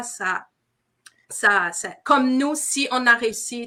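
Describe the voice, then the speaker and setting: In a raised, projected voice, a woman speaks with a high pitch, a bright, sharp tone and lively intonation. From Quebec, Montreal. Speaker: entrepreneur. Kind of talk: interview. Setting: live stream.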